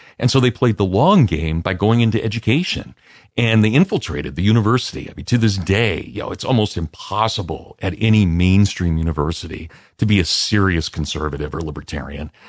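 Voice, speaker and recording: In a very clean recording with a silent background, a man with a plain, everyday voice speaks fairly quickly at a fairly low pitch with lively intonation. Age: 50s. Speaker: history professor. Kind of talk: interview.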